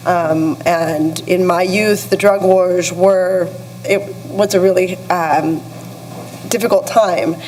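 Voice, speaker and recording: A woman's medium-pitched voice with an American accent, monotone and flat, very slow, at a very even loudness, amid noticeable background noise and audible room echo. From US-Mexico border region. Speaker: communications executive, panelist. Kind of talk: panel discussion. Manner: hesitant, many fillers.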